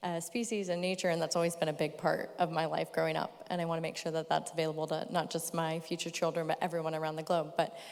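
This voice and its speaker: A woman with an American accent talks very fast with hardly any pauses, using a monotone, flat intonation at a fairly low pitch. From California. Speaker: company sustainability representative. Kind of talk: panel discussion.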